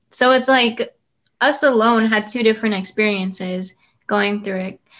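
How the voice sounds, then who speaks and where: A normal speaking voice with an American accent and fairly even intonation, on a very clean recording with a silent background. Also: woman. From San Antonio, Texas. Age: young. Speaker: student podcaster. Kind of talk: casual interview chat.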